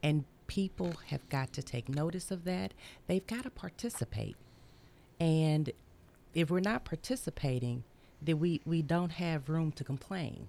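Her pitch very deep and low, a woman with a Tennessee accent speaks in a dark, mellow tone with lively intonation, a fairly slow pace and long, frequent pauses. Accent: Southern US (Tennessee). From US South, Memphis, Tennessee. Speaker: community activist. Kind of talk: radio interview.

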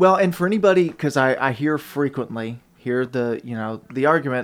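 Talking at a fairly quick pace, a man with a Southern US accent keeps a medium pitch and ordinary pitch variation. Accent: US South (Tennessee). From Tennessee, Murfreesboro. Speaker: radio producer. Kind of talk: casual chat. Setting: studio.

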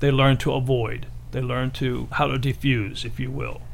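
Audible room echo surrounds the voice. A man talks at a moderate pace. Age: 60s. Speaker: martial arts instructor. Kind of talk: radio interview.

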